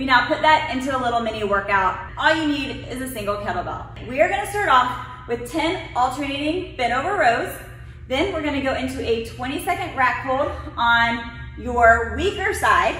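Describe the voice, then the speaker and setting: A woman projects a raised voice with lively intonation at a moderate pace, with audible room echo and light background noise. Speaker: fitness coach. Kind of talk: workout instruction. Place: gym.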